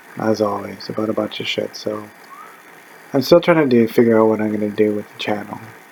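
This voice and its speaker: A man talks with a fairly low pitch and ordinary pitch variation. Noticeable background noise is present. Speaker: vlogger. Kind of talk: casual monologue. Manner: rambling, hesitant; loud.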